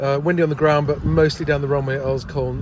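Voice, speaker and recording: Light background noise under a man's voice, the sound dry and free of echo. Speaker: private pilot vlogger. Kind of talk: casual vlog chat. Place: plane. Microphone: phone near.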